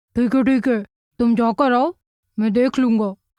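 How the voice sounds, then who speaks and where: A woman puts on a cartoonish character voice at a high pitch and moderate pace, with fairly even intonation. The sound is dry and close, without echo. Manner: lazy, dismissive.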